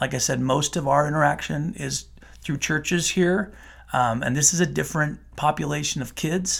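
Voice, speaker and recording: Very clean with a silent background, the recording captures a man with a Utah accent speaking at a moderate pace, his pitch fairly high with ordinary variation. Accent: American, Utah. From Utah, Salt Lake City. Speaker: juvenile court judge. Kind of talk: podcast interview.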